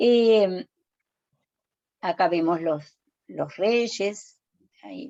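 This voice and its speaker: Pausing long and often, a woman talks at a very slow pace at medium pitch with ordinary pitch variation. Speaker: lecturer. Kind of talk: lecture. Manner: halting; soft-spoken. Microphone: too quiet.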